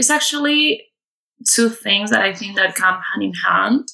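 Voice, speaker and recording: A woman with a Spanish accent. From Spain, near Madrid. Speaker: online marketing and web design staff. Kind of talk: personal testimony.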